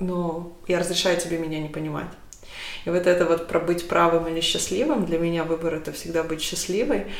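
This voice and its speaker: A woman speaks at a fairly quick pace and fairly low pitch, with fairly even intonation and noticeable background noise. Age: 30s. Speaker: podcast host. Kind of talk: casual chat. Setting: kitchen, in person.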